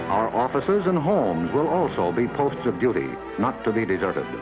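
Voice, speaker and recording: Over music in the background, a man speaks at a medium pitch with very wide pitch swings and very even loudness. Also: fairly quick pace. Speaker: news broadcaster. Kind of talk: government documentary narration.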